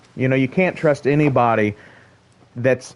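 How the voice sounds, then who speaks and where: A man's medium-pitched voice at a moderate pace. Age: 30s. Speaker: video game streamer. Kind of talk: live gameplay stream chat. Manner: casual, halting with repetitions.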